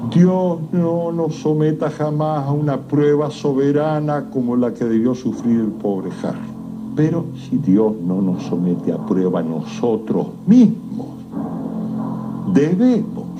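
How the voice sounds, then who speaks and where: Noticeable background noise runs behind a man with a fairly high pitch. He speaks at a very slow pace with very wide pitch swings. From Argentina. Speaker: writer. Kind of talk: horror story narration.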